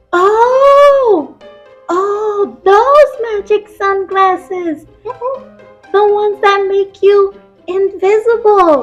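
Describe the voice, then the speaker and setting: A cartoonish character voice at an extremely high pitch, with faint music in the background. The pace is very slow, broken by long, frequent pauses. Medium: puppet.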